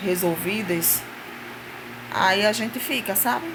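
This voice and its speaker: Soft-spoken and medium in pitch, a woman talks with ordinary pitch variation over noticeable background noise and audible room echo. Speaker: vlogger. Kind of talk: casual chat.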